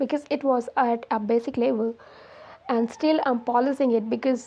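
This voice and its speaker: A woman with an Indian accent, high pitch and monotone, flat intonation at a moderate pace. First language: Hindi. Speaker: English learning YouTuber. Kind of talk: casual talk to camera.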